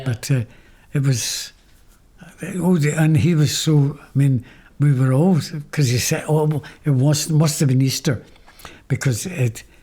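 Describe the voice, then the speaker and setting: Long, frequent pauses break up a man's fairly slow delivery. His voice is dark, mellow and somewhat breathy, with a fairly high pitch and ordinary pitch variation. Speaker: former seminary student. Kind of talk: interview answer.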